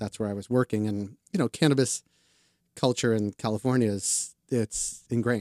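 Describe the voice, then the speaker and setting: In a plain, everyday voice, a man with an American accent speaks at a medium pitch, the sound dry and close with no echo. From Boston. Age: 40s. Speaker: cannabis publication cofounder. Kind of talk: casual interview. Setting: studio.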